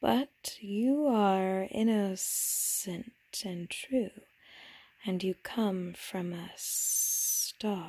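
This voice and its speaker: The voice is a put-on character voice. It moves at a very slow pace. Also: woman, medium pitch for a woman. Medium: read story. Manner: calm, enigmatic.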